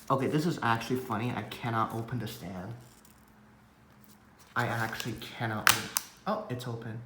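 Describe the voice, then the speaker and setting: Amid noticeable background noise and audible room echo, a man with a medium-pitched voice talks at a fairly quick pace with long, frequent pauses and fairly even intonation. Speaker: tech unboxing youtuber. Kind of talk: unboxing video.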